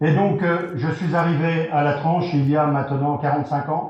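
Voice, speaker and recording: In a room with audible echo, a man with a fairly high pitch speaks at a fairly slow pace, somewhat breathy and with fairly even intonation. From France, Vendée. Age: 60s. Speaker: local election candidate. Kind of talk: campaign rally speech. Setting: hall with audience. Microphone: poor sound.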